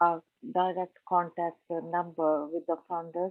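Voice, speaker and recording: This is a woman speaking. She talks with a non-native accent. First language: not English. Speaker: community project organiser, workshop attendee. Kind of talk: question in online workshop. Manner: halting.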